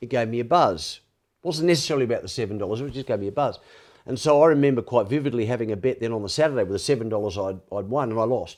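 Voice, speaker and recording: Very fast and medium in pitch, a man talks with an Australian accent. His pitch varies in an ordinary way, and the recording is very clean with a silent background. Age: 60s. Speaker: former sports reporter, addiction advocate. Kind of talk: podcast interview. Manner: halting.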